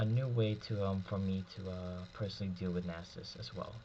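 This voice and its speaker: A man speaks at a very deep, low pitch with ordinary pitch variation. His voice is somewhat breathy and his pace moderate. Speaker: gaming commentator. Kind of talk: gameplay commentary.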